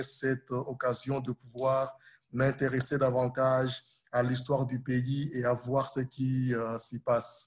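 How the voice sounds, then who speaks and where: At a very slow pace, a man talks in a monotone, flat intonation. His medium-pitched voice is somewhat breathy. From Burundi, Congolese parents. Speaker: humanitarian worker and social media history storyteller. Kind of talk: interview.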